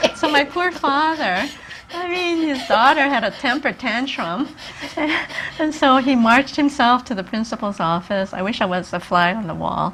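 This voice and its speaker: Over noticeable background noise, a woman with a Japanese accent speaks high at a moderate pace, her pitch swinging very widely. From Hawaii. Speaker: retired social worker and community activist. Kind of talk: interview.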